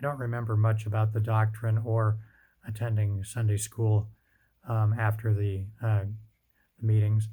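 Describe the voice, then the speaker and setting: A man speaks at a moderate pace with a dark, mellow tone. His voice is somewhat breathy. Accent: American. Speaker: father telling his life story. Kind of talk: personal testimony. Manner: hesitant, many fillers.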